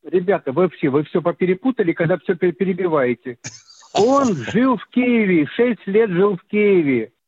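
A man's high-pitched voice with lively intonation, at a fairly slow pace. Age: 80s+. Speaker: caller. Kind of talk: call-in question. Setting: phone call.

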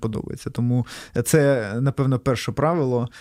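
On a very clean recording with a silent background, a man speaks at a medium pitch with a dark, mellow tone and fairly even intonation. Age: 30s. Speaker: entrepreneur. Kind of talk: interview.

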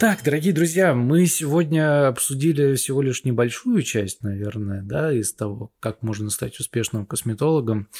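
A man with a plain, everyday voice at medium pitch, moderate pace and hardly any pauses, on a very clean recording with a silent background and a dry, close sound with no echo. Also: lively intonation. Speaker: podcast host and video editor. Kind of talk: casual chat.

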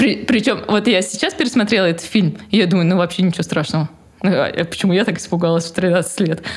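Over noticeable background noise, a woman speaks very fast at a medium pitch with ordinary pitch variation. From Moscow, Russia. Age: 20s. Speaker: mother of four, homeschooling parent. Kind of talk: casual interview chat.

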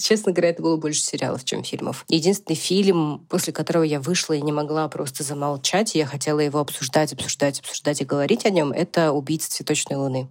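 A woman speaks at a very fast pace with hardly any pauses. Her pitch is very deep and low, with ordinary variation. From Russia, Siberia (Tomsk). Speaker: podcast co-host. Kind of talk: casual chat. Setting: remote recording, hosts in different countries.

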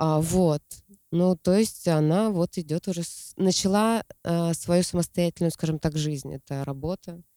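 A woman's fairly low, dark, mellow voice, fairly slow and fairly even in intonation, in a dry, close sound with no echo. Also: very clean recording, silent background. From Siberia. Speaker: poet. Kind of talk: casual chat.

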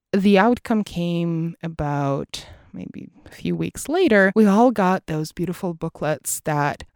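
A woman's fairly low voice at a fairly slow pace, with ordinary pitch variation and a dry, close sound free of echo. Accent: Russian. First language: Russian. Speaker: English teacher and school CEO. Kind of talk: solo monologue podcast episode.

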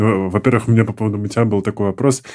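An unremarkable speaking voice from a man, fairly low in pitch, with fairly even intonation. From small Russian town. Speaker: podcast host. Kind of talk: podcast interview. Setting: studio.

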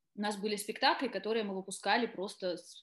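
Here is a woman with an unremarkable speaking voice. She talks at a moderate pace and a fairly high pitch. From southern Russia, Taganrog. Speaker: actress. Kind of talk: interview.

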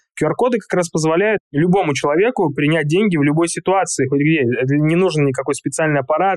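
A man with a plain, everyday voice and a fairly high pitch speaks at a fairly quick pace, the sound dry and close with no echo. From Siberia, Russia. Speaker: China market expert, company founder. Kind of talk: interview.

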